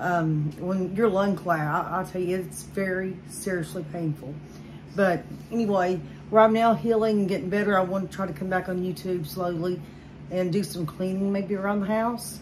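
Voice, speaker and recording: A woman talks at a moderate pace with ordinary pitch variation. Noticeable background noise sits behind her. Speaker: home vlogger. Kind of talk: casual vlog chat. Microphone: phone near.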